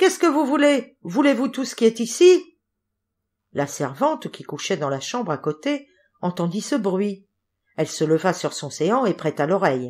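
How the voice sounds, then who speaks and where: In a very clean recording with a silent background, a woman at a medium pitch sounds animated, using very wide pitch swings and big swings in loudness at a fairly slow pace with long, frequent pauses. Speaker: audiobook narrator. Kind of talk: dramatic fairy-tale narration, reading aloud. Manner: animated, expressive, shifts voices between characters; storytelling pace, suspenseful.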